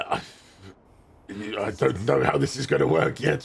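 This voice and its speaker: Using a put-on character voice, a man speaks raspy at a moderate pace and medium pitch. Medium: actual play. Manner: calm, earnest.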